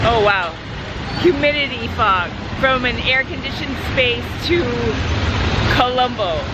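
Over loud background noise, a woman talks at a fairly slow pace. The sound is dry, with no echo. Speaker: travel vlogger. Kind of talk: casual vlog chat. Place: street. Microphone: phone near.

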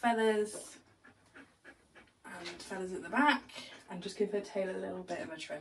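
Big swings in loudness mark this woman's moderately paced speech, with light background noise. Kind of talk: tutorial. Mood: warm, relaxed. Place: shop. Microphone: camera far.

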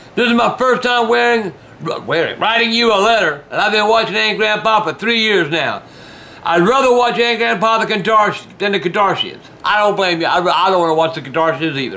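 A man uses a raised, projected voice at a moderate pace. His pitch variation is ordinary. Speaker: video host. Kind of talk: reading fan letters aloud with casual comments. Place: home room. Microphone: camera far.

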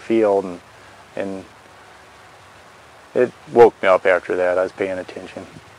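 A man speaks in a monotone, flat intonation at a fairly low pitch. The sound is dry with no echo. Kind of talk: interview answer. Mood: relaxed, matter-of-fact. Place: open country. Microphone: lapel.

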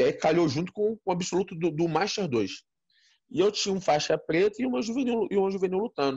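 A man talks at a high pitch. The background is quiet. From Brazil. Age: 40s. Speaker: interview guest, martial arts coach. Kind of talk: interview, personal storytelling. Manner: halting, many repetitions. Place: home room. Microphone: phone near.

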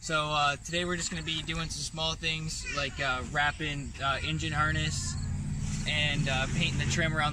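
A man speaks at a moderate pace with a fairly high pitch. Background noise is clear, and room echo is audible.

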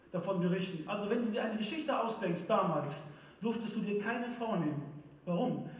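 The voice moves at a moderate pace with ordinary pitch variation, and audible room echo can be heard. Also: man. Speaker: preacher. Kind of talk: church sermon. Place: stage.

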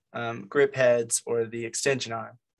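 A man talks with fairly even intonation. The background is quiet. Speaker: meeting host presenting gear. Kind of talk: informal lecture. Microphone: video call.

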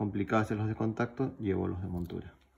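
A man's somewhat breathy voice, fairly low in pitch, with ordinary pitch variation. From Peru. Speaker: YouTuber, pocket knife collector; YouTuber. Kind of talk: show-and-tell video.

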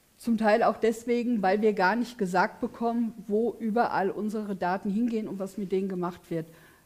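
At a moderate pace and with hardly any pauses, a woman speaks in a fairly high pitch with fairly even intonation. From Königstetten, Hesse; Hesse. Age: 50s. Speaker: politician. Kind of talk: election debate. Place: studio.

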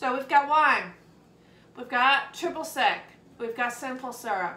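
A woman talks at a fairly slow pace. Echo from the room is audible. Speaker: vlog co-host. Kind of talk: casual vlog chat. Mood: cheerful, laughing. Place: kitchen. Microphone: camera far.

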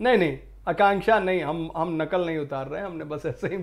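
This man has a fairly high pitch. The pitch rises and falls in an ordinary way. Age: 30s. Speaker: online exam-prep teacher. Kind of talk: lecture. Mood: cheerful, smiling.

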